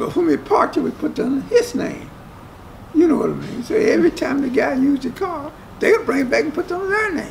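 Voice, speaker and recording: A man with an Appalachian accent talks at a fairly quick pace in an extremely high pitch, his voice swinging very widely, over light background noise. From West Virginia, US. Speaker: resort worker. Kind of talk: casual interview. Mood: proud, storytelling. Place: hall. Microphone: camera far.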